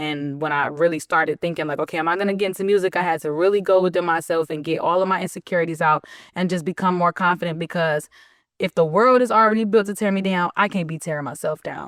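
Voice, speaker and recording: Talking at a very fast pace, a woman uses a fairly low pitch and an animated tone. The sound is dry and close with no echo, in a very clean recording with a silent background. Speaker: rapper. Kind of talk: casual chat.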